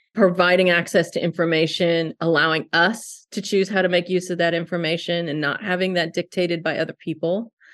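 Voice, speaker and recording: Against a quiet background, a woman with a fairly low pitch uses an ordinary speaking voice at a moderate pace. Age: 50s. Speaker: social worker and adoption agency director. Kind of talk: interview conversation.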